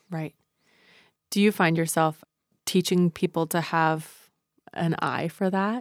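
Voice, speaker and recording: Very slowly and with long, frequent pauses, a woman speaks in a fairly low voice with fairly even intonation. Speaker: podcast host and therapist. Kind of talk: interview conversation, podcast.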